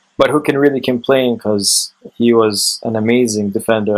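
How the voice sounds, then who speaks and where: The speaker sounds enthusiastic, moving at a fairly quick pace. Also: man. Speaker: gaming YouTuber. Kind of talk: video game review to camera. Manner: trying to sound enthusiastic.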